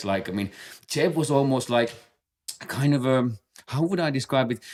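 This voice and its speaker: This man has a Finnish accent. He talks at a fairly quick pace. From Finland. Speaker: base jumper and podcast co-host. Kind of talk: casual chat. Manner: halting, many fillers and repetitions.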